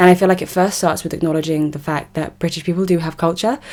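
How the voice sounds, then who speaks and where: A woman speaks with an English accent. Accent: English accent, very obvious. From South West London, England. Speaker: political commentator. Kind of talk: monologue vlog commentary.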